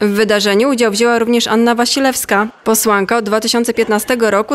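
Over noticeable background noise, a woman talks at a fairly quick pace in a fairly high pitch. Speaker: news reporter. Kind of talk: news report narration.

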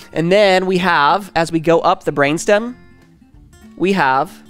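Over faint music in the background, a man talks in a high pitch with ordinary pitch variation. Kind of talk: lecture. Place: studio. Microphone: headset.

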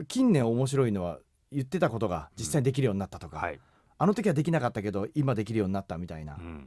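A man with a dark, mellow tone and vocal fry speaks at a very fast pace with very wide pitch swings, on a very clean recording with a silent background. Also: medium pitch for a man, big swings in loudness. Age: 40s. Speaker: radio host and voice actor. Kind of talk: radio interview.

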